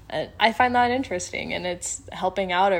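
The recording is very clean, with a silent background. A woman of medium pitch talks at a moderate pace with lively intonation and vocal fry. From Colorado, US (Fort Collins). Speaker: university student and podcast editor. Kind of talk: interview.

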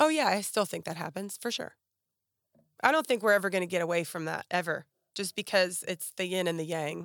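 A woman with an American accent and an ordinary speaking voice, at medium pitch with ordinary pitch variation and a fairly quick pace, on a very clean recording with a silent background and a dry, close sound with no echo. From western Pennsylvania, near Pittsburgh. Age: 40s. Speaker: model and former teacher. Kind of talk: casual interview.

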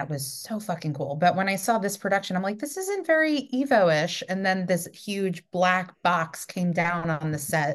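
This woman speaks in a New York accent with lively intonation. Her pace is moderate. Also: medium pitch for a woman, hardly any pauses. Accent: New York American. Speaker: theatre director and podcast host. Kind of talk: casual interview chat.

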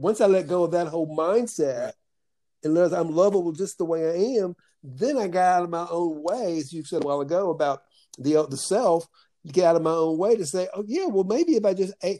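Against a quiet background, a man with a high pitch and a dark, mellow tone moves at a fairly quick pace with ordinary pitch variation. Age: 60s. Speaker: podcast host. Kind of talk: calm guided conversation with meditation. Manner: warm, reflective, spiritual.

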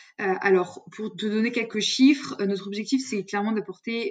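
A woman is talking. Her voice has a medium pitch. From France, Lyon region. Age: 20s. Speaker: sales development representative. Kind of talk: interview. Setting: remote recording.

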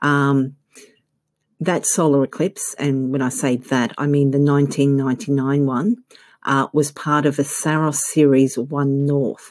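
A woman with a very deep, low voice and an Australian accent speaks at a fairly slow pace, her intonation fairly even and her loudness very even. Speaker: astrologer. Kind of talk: scripted-style informative talk. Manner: hesitant, frequent filler words.

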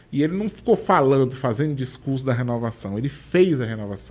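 With an ordinary speaking voice, a man of medium pitch talks at a fairly quick pace with lively intonation. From Bahia, Brazil (Feira de Santana). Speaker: state government official and law professor. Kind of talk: interview.

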